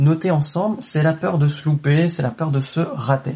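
A man with an ordinary speaking voice, fairly high in pitch, at a moderate pace. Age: 20s. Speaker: real estate investing podcaster. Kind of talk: solo motivational monologue. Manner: casual, direct with filler words.

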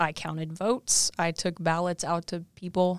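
A woman's fairly low voice with a Midwestern US accent, at a moderate pace, on a very clean recording with a silent background and a dry, close sound with no echo. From southwest Missouri, US. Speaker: assistant director of career services, co-host. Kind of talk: casual interview chat.

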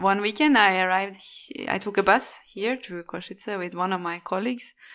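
In a Norwegian accent, a woman speaks at a fairly quick pace in a medium pitch with a bright, sharp tone and fairly even intonation, in a very clean recording with a silent background. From Norway. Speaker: expat professional. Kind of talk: casual interview.

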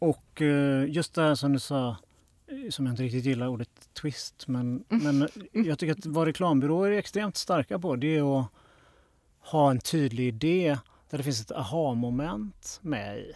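An unremarkable speaking voice moves at a fairly slow pace with lively intonation. The sound is dry and close with no echo. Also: man, fairly high pitch for a man. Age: 40s. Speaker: podcast host, graphic designer. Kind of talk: interview. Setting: studio.

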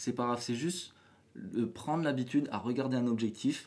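A man's unremarkable speaking voice, at a moderate pace with ordinary pitch variation. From New Caledonia. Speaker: photographer. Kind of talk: casual interview. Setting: hotel room.

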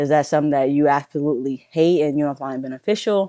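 Very fast and very deep in pitch, a woman speaks with a dark, mellow tone and ordinary pitch variation in a dry, close sound with no echo. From southern Louisiana. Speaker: powerlifter and coach. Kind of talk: casual interview conversation.

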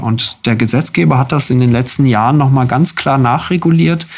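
The man speaks at a moderate pace and medium pitch, with ordinary pitch variation. Noticeable background noise runs underneath. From southern Germany (Freiburg). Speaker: anaesthesiology chief physician. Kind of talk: radio interview.

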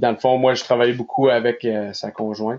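A man speaking with fairly even intonation. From Nova Scotia, Canada (Quebecois parents). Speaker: athletic therapist. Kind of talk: casual interview.

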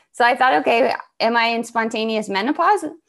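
A woman with a General American accent has an unremarkable speaking voice and ordinary pitch variation. She speaks at a moderate pace against a quiet background. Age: 40s. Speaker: somatic practitioner and author. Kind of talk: interview conversation.

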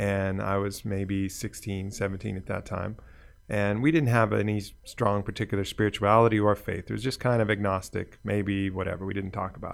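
A man speaks in a normal speaking voice, fairly low in pitch, with fairly even intonation and a fairly quick pace. The recording is very clean with a silent background. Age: 50s. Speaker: podcast host. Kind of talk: casual chat.

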